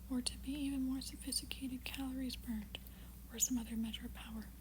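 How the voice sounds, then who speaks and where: A soft-spoken woman whispers at a fairly quick pace amid noticeable background noise. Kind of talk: ASMR reading. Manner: soft-spoken, whispered.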